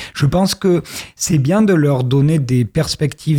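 This man's voice is somewhat breathy, with a dark, mellow tone. He speaks at a fairly slow pace. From southwest France, Périgord noir (Dordogne). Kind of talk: radio interview.

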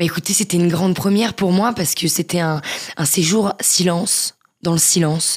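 A woman's fairly low pitch with fairly even intonation. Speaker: author with multiple sclerosis. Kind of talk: interview testimony.

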